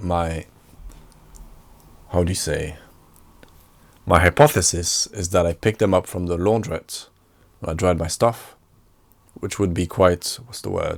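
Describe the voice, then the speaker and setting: At a moderate pace broken by long, frequent pauses, a man speaks with a very deep, low pitch, ordinary pitch variation and big swings in loudness. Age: 20s. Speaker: podcaster and filmmaker. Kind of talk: solo casual podcast monologue. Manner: matter-of-fact, unenthusiastic.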